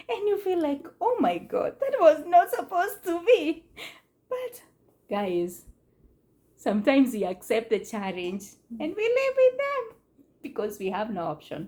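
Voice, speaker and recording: A woman speaks in a high pitch with a non-native accent. Her pitch swings very widely, and she takes long, frequent pauses. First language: not English. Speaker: immigrant mother on family channel. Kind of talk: casual talk to camera. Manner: hesitant, with fillers.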